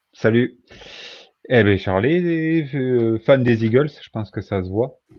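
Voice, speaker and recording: A man at medium pitch speaks at a very slow pace, his pitch variation ordinary and his loudness swinging widely. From southwest France, Agen. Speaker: podcast guest, fantasy football player. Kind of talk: casual chat.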